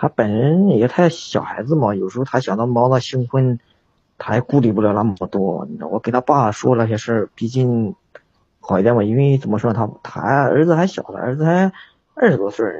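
This man has a plain, everyday voice at medium pitch. He talks at a moderate pace with lively intonation. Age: 30s. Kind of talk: phone-in advice call. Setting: livestream voice link-up.

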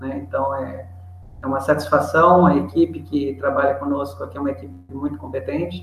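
A man talks at a fairly quick pace and a fairly high pitch, with very wide pitch swings. Noticeable background noise and audible room echo surround him. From Brazil, interior of São Paulo state. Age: 40s. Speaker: trading company partner, tax and import expert. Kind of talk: webinar expert explanation. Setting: online webinar.

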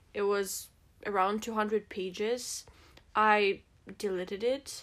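At a very slow pace, a woman speaks at a medium pitch with a Russian accent. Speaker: podcast co-host. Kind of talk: casual chat. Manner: halting.

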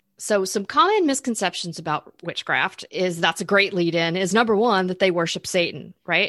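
A woman with an American accent and a plain, everyday voice speaks at a moderate pace and medium pitch with ordinary pitch variation, in a dry, close sound with no echo and a quiet background. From Florida. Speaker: spiritual coach and podcast co-host. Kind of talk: casual chat.

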